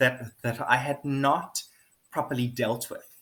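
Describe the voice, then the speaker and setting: The speaker is a man with a medium-pitched voice. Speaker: video blogger. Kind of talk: personal monologue. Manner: halting.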